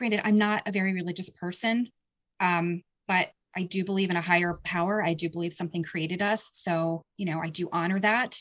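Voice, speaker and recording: A woman with an American accent speaks at a medium pitch with fairly even intonation. She has an unremarkable speaking voice. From rural eastern Pennsylvania. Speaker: paranormal investigator and documentary maker. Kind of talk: casual interview.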